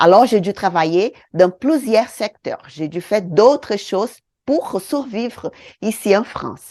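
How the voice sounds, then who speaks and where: In a Brazilian accent, a woman speaks at a very slow pace with a dark, mellow tone and lively intonation over a quiet background. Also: medium pitch for a woman. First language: Portuguese (speaking French). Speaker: beauty trainer, eyebrow design teacher. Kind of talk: online course lesson.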